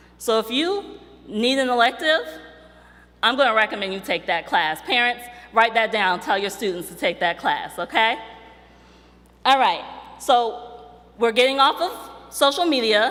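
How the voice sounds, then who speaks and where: A woman speaks with a fairly high pitch and lively intonation over noticeable background noise. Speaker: university staff speaker. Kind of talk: ceremony address. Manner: animated; fast.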